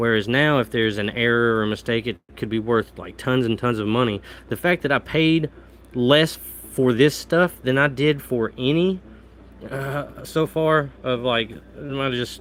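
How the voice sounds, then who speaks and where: Someone talks in a Southern Midland US accent. The pace is moderate, with ordinary pitch variation. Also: man, medium pitch for a man. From US Midwest, Southeast Missouri. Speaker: coin collector, live streamer. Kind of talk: casual live stream chat. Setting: live stream from home.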